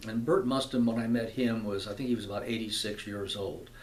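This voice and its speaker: This man's voice has audible room echo. He is talking. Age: 70s. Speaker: actor and video blogger. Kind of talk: casual vlog talk to camera. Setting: computer room in apartment. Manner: halting, many fillers and repetitions.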